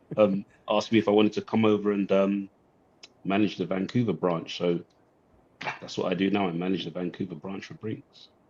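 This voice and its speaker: A fairly quick pace broken by long, frequent pauses, with a British accent and fairly even intonation. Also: man, fairly low pitch for a man. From England. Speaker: branch manager, watch collector. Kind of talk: casual chat.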